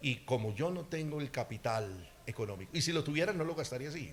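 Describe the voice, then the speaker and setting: With an animated tone and lively intonation, a man speaks in a somewhat breathy, fairly high voice. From Colombia, eastern Antioquia. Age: 60s. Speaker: political candidate. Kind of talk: campaign interview.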